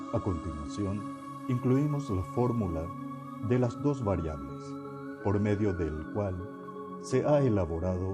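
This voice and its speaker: With music in the background, a man talks at a fairly slow pace and with lively intonation. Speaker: podcast narrator. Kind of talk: educational nonfiction reading.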